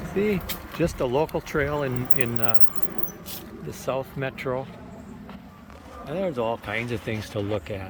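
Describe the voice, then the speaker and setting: There is noticeable background noise as a man speaks at a medium pitch. His pace is fairly slow, with long, frequent pauses. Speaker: recreational trike rider vlogger. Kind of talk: casual ride-along narration. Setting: outdoors, riding a recumbent trike on trails. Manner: talking kind of loud.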